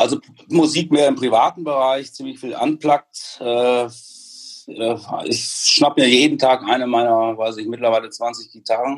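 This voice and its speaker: Very slow male speech with fairly level intonation. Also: medium pitch for a man. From Münster area, Westphalia, Germany. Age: 50s. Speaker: hearing aid industry executive. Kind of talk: casual interview.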